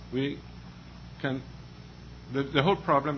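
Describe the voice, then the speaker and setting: A man with a Danish accent speaks with vocal fry. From Denmark. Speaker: librarian association representative, panelist. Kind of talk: panel discussion. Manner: halting.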